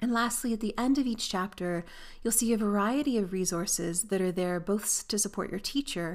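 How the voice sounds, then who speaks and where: A woman with a Canadian accent speaks at a fairly quick pace in a medium pitch, in an unremarkable speaking voice. The recording is very clean, with a silent background. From Canada. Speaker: aviation professor and textbook author. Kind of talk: educational monologue.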